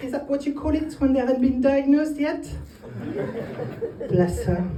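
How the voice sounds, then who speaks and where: Through noticeable background noise and audible room echo, a woman with a French accent talks at a fairly quick pace, her pitch swinging very widely. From northern France. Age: 20s. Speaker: comedian. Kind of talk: stand-up. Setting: stage with audience.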